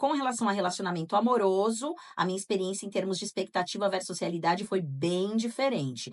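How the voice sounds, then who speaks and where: A woman's medium-pitched, ordinary speaking voice, fairly quick with hardly any pauses and a lively intonation. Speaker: podcast co-host. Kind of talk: casual podcast chat with read-out listener accounts.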